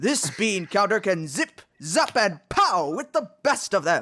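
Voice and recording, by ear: In a cartoonish character voice, the speaker goes at a fairly slow pace with big pitch swings. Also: fairly bright tone.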